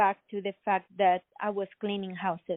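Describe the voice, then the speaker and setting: The speaker is a woman. She has a Spanish accent. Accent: Spanish-accented English, non-native. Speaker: inventor and entrepreneur. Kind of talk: interview. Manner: halting, many fillers.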